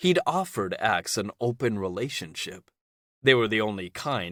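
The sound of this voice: Quiet background and an unforced reading voice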